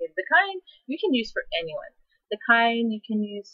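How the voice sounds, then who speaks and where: This woman talks in a Hawaiian accent. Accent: Hawaiian local. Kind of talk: casual talk to camera.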